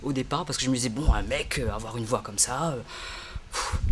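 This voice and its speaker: Lively intonation and a fairly quick pace mark a man's speech over noticeable background noise. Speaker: singer and English teacher. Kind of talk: interview. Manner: hesitant, many fillers.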